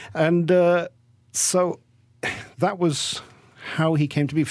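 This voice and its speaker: A man with an English accent speaks at a fairly slow pace. The recording is very clean with a silent background. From England. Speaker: author. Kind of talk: interview.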